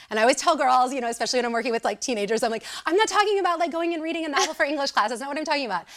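Over noticeable background noise, a woman talks at a very fast pace with hardly any pauses. Her high-pitched voice has an animated tone and very wide pitch swings. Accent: American. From Southern Illinois. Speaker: confidence coach. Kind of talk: interview.

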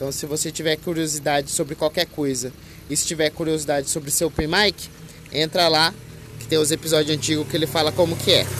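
A man at a fairly quick pace, monotone and flat in intonation, with noticeable background noise. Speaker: podcaster. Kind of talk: casual monologue. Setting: outdoors by a busy avenue. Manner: loud; halting.

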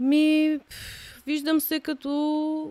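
A woman's voice has a dark, mellow tone. The sound is dry and close with no echo, in a very clean recording with a silent background. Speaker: professional dancer. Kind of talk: casual chat.

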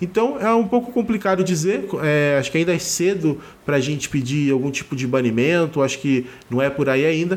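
A man with a plain, everyday voice talks at a fairly quick pace. His pitch is fairly high, his intonation lively and his loudness very even. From Rio de Janeiro, Brazil. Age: 30s. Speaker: card game content creator and writer. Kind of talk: pre-recorded opinion segment. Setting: remote pre-recorded audio.

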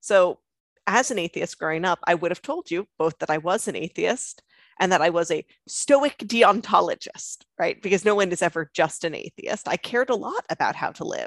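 A woman with an American accent talks at a moderate pace in a dry, close sound with no echo. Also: quiet background. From Long Island, New York. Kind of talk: conversion testimony interview.

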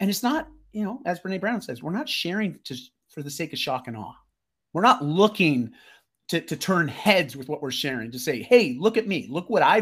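Recorded very cleanly with a silent background, a man with a high voice speaks at a moderate pace, his pitch swinging very widely and his loudness swinging a lot. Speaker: lifestyle mentor and performance coach. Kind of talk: casual interview conversation. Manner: enthusiastic.

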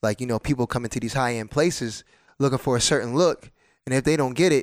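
A man with an American accent and a normal speaking voice talks at a fairly quick pace in a medium pitch with fairly even intonation, the recording very clean with a silent background and a dry, close sound with no echo. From New Jersey. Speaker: dancer. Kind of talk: casual chat.

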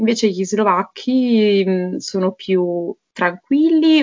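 A woman's medium-pitched voice moves along very slowly. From Naples area, Italy. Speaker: Italian teacher. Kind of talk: casual interview chat.

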